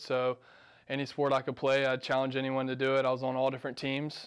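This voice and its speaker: A man with an American accent speaks at a medium pitch against a quiet background. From Georgia, US South (Macon); Georgia. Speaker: college tennis player. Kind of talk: interview. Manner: casual with frequent fillers. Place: office.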